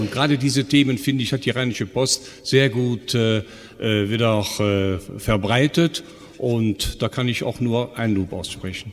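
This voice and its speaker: The speech moves at a fairly slow pace with ordinary pitch variation. Noticeable background noise sits behind it. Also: man. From Mönchengladbach, Rhineland, Germany. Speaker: audience member, author. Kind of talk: audience question. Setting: stage with audience.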